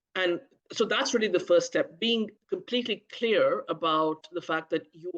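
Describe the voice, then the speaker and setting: A woman with a medium pitch and a bright, sharp tone speaks at a moderate pace with lively intonation. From India. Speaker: healthcare communication educator. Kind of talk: interview.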